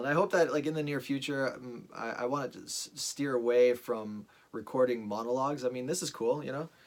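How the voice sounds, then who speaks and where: This man has a medium pitch and ordinary pitch variation, and he talks at a fairly quick pace. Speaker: vlogger. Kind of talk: monologue. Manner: fast; halting, many fillers and restarts.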